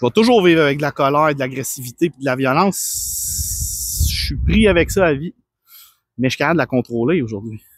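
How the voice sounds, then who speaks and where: A man talks with a Quebec accent, his loudness swinging widely. The sound is dry and close, with no echo. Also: fairly quick pace. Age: 30s. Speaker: personal trainer. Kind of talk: personal testimony. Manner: calm.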